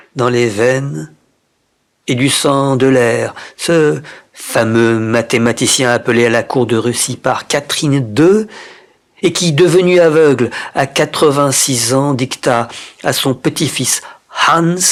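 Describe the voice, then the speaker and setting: A man speaks at a very slow pace, with long, frequent pauses. His pitch is medium and his loudness stays very even. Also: ordinary pitch variation, very clean recording, silent background. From Japan. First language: Japanese (speaking French). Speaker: poetry reader. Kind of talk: reading aloud. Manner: expressive.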